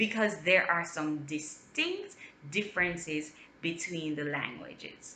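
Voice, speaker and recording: Speaking very slowly, a woman uses a bright, sharp tone. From Jamaica. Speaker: linguist. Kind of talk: educational talk to camera.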